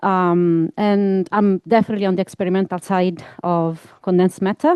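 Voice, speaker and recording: A woman with an Italian accent. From Italy. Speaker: physics researcher. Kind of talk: scientific talk. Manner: hesitant, many fillers.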